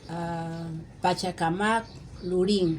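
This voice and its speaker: A woman talks with fairly even intonation. The recording carries audible room echo and noticeable background noise. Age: 70s. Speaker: interviewee, neighbor. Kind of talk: interview.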